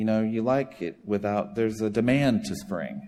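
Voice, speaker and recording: At a moderate pace, a man with a slight Southern US accent speaks in a medium pitch with a dark, mellow tone. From US South, South Carolina. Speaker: charity director and former pastor. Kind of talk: sermon. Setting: church.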